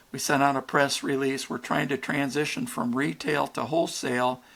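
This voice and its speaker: A man with an ordinary speaking voice talks at a moderate pace, medium pitch and ordinary pitch variation, on a very clean recording with a silent background. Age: 60s. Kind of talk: podcast interview. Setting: podcast.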